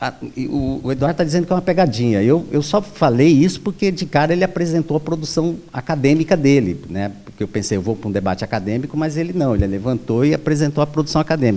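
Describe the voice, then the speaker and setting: Pitched fairly high, a man talks at a very fast pace with lively intonation. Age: 60s. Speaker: professor and union election candidate. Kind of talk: debate. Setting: auditorium with microphone, recorded debate.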